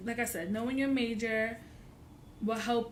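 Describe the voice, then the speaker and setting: This woman's voice sits fairly high and is somewhat breathy. Some room echo can be heard around her. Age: 20s. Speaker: college student vlogger. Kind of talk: casual vlog tutorial. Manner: hesitant with many fillers.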